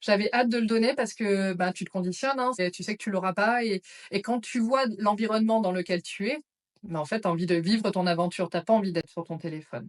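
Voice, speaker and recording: Recorded dry and close with no echo, a woman with an unremarkable speaking voice talks at medium pitch and a fairly quick pace, with ordinary pitch variation. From France, Auvergne (Clermont-Ferrand). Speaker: psychiatric nurse, trek participant. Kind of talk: interview.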